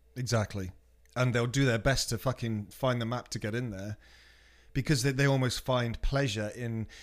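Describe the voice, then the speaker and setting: A man talks in an ordinary speaking voice at a medium pitch and moderate pace. His intonation is fairly even, and the recording is very clean with a silent background. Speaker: DJ and music producer. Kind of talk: casual interview chat.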